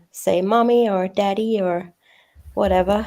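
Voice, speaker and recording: With fairly level intonation, a woman talks in a dark, mellow tone. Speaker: true crime youtuber. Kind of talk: live stream panel chat.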